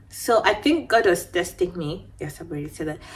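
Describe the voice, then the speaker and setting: Over music in the background, a woman's voice swings very widely in pitch. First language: not English. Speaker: beauty vlogger. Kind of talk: casual storytime chat. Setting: at home.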